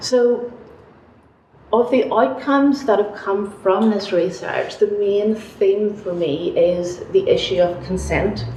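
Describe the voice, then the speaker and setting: Over noticeable background noise and audible room echo, a woman with a Northern Irish accent talks at a very slow pace, her medium pitch showing ordinary pitch variation. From Northern Ireland, Belfast. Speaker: sociology academic. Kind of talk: panel talk.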